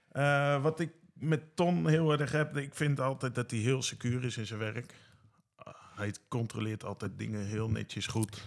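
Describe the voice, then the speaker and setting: A man with a normal speaking voice at a medium pitch, a fairly slow pace and ordinary pitch variation. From Netherlands, Bunschoten. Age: 40s. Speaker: care worker. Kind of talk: casual interview.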